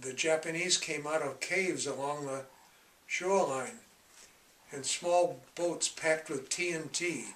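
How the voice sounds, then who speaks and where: A man speaks with a New England accent. His pitch is fairly high, with ordinary variation. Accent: New England American. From Massachusetts, USA. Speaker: war veteran. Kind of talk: interview answer.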